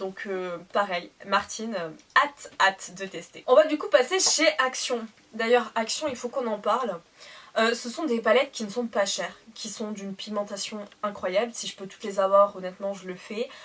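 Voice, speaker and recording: A woman speaks with big swings in loudness over noticeable background noise. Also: fairly high pitch for a woman, ordinary pitch variation, moderate pace. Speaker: beauty youtuber. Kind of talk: product haul review. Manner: animated; hesitant fillers.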